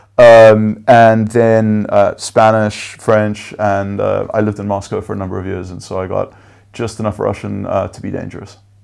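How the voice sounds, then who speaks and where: In a South African accent, the speaker goes at a moderate pace with big swings in loudness. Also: man. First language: Afrikaans. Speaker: venture capital investor. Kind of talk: interview. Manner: hesitant with many fillers.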